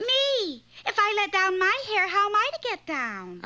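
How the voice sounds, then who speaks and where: Doing a put-on character voice, a woman speaks at an extremely high pitch with lively intonation. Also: moderate pace. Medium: audio drama. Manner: deadpan, wisecracking.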